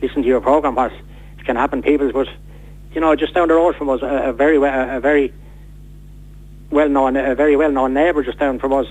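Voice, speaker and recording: A man with an Irish accent talks at a very fast pace in a fairly high, monotone, flat voice, broken by long, frequent pauses. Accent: Irish, Wexford. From Ireland, County Wexford. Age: 60s. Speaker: man living with motor neurone disease. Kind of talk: radio interview. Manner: halting, repeats words.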